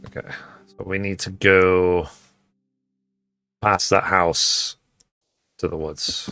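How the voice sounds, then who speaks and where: A man talks very slowly in a very deep, low voice with a bright, sharp tone, flat monotone intonation, big swings in loudness, and long, frequent pauses. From England, Liverpool then London. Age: 40s. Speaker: gaming streamer. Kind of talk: live gameplay stream commentary.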